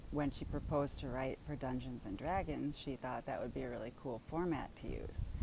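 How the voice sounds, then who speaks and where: A woman with a Wisconsin accent speaks in a very deep, low voice with a dark, mellow tone and vocal fry. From US Midwest, southeastern Wisconsin. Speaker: vlogger sharing Parkinson's experience. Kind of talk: personal storytelling monologue.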